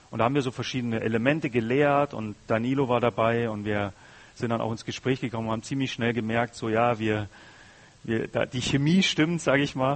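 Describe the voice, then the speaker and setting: Here is a man with a normal speaking voice. His medium pitch carries fairly even intonation. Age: 30s. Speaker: guest preacher. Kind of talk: sermon.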